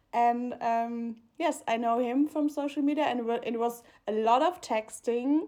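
A woman speaks with a German accent at a high pitch. Her tone is dark and mellow. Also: ordinary pitch variation, moderate pace. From Germany, Mannheim. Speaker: podcast co-host. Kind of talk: casual chat. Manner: halting, many fillers.

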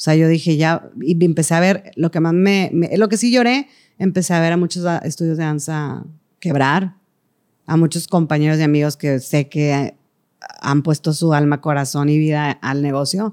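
On a very clean recording with a silent background, a woman with a very deep, low pitch speaks at a moderate pace, with ordinary pitch variation and very even loudness. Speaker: singer, actress and choreographer. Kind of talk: casual chat.

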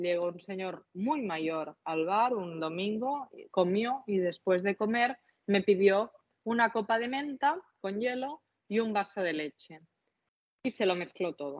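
A woman in a Catalan accent, at a fairly slow pace. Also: medium pitch for a woman, lively intonation. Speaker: cocktail content creator. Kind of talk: casual interview.

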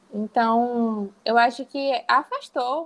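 Ordinary pitch variation is heard in a dry, close sound with no echo. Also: woman. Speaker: illustrator and university lecturer. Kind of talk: interview.

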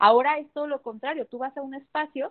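Talking very fast, a woman uses ordinary pitch variation. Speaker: feminist activist and political candidate. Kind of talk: interview conversation.

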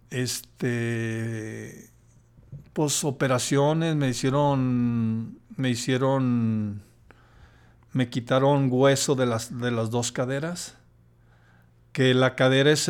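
On a very clean recording with a silent background, a man with a Mexican accent speaks at a medium pitch with fairly even intonation. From Mexico, Jalisco (Lagos de Moreno). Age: 50s. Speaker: accident survivor, host's father. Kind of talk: casual interview. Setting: hotel room. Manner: halting, many fillers.

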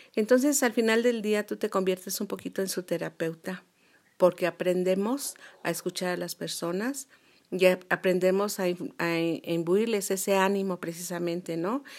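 Recorded very cleanly against a silent background, a woman with an ordinary speaking voice talks at a moderate pace and medium pitch with ordinary pitch variation. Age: 60s. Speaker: retired business administrator and cosmetologist. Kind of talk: interview.

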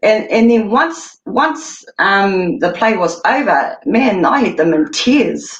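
Her fairly high, somewhat breathy voice swings very widely in pitch while the loudness stays very even. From New Zealand, Māori. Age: 40s. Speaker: Māori community member. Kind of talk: casual interview. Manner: energetic.

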